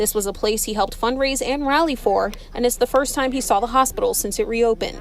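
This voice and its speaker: Noticeable background noise sits behind a woman speaking at a very fast pace. Her pitch is high, with ordinary variation. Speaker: TV news reporter. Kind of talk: live TV news report. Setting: outdoors.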